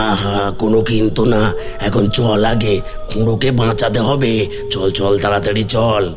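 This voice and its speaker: Over loud background music, a man does a cartoonish character voice with a fairly low pitch at a fairly slow pace. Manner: insistent, luring.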